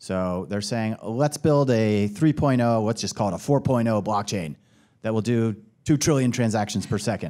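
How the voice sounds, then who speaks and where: This man has an ordinary speaking voice at a medium pitch. His pace is moderate, with ordinary pitch variation. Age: 40s. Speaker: venture capital investor. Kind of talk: panel discussion.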